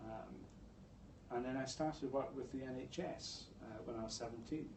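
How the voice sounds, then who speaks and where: Fairly even intonation and a slight Scottish accent come through with audible room echo and noticeable background noise. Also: man, medium pitch for a man, moderate pace. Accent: slight Scottish burr. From Scotland, Dundee. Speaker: public health executive. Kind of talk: interview. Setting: stage with audience.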